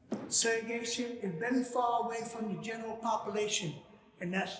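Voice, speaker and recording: Here a man speaks at a high pitch and a moderate pace. Noticeable background noise and audible room echo are present. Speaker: former prisoner and activist. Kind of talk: prepared speech read from notes. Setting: church event with live audience.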